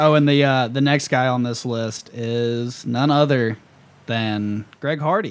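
A man speaks with an American accent and an unremarkable speaking voice. His pitch varies in an ordinary way. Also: medium pitch for a man, fairly slow pace. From US South. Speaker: podcast host. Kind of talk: casual chat.

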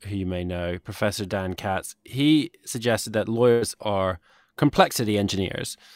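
A man with a British accent speaks at a moderate pace and a fairly low pitch. The sound is dry and close, with no echo. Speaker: podcast host and company founder. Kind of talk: casual interview conversation. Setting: virtual studio, video call.

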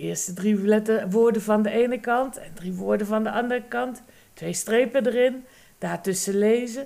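Speaking at a fairly slow pace, a woman uses fairly even intonation at a fairly high pitch. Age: 50s. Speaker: agricultural and environmental inspector, mother. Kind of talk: interview. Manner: hesitant.

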